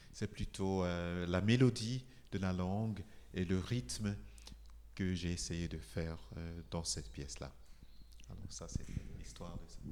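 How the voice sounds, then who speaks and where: Delivered at a very slow pace in a Nigerian accent, the speech has very wide pitch swings and long, frequent pauses. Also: man, very deep, low pitch for a man. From Nigeria, Igbo. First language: Igbo (speaking French). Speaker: composer. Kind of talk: interview talk. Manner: halting.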